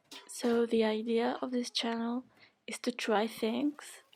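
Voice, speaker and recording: Speaking at a fairly slow pace with a non-native accent, a woman keeps her fairly high pitch under fairly even intonation. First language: not English. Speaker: beauty YouTuber. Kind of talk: tutorial. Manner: casual, hesitant with fillers.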